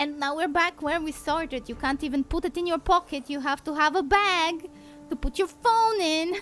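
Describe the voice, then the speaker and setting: A woman with a non-native accent speaks at a moderate pace in an extremely high voice with ordinary pitch variation. Noticeable background noise runs underneath. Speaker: vtuber streamer. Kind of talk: casual live-stream chat. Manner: animated.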